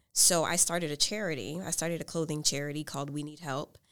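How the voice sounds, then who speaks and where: With an American accent, a woman speaks in an unremarkable speaking voice at a moderate pace with ordinary pitch variation, in a very clean recording with a silent background. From US South, New Orleans. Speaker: PhD student and talk show host. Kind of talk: casual interview. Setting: on campus recording.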